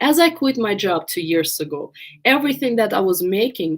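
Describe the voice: A woman's voice with lively intonation and a slightly husky edge. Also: medium pitch for a woman, moderate pace.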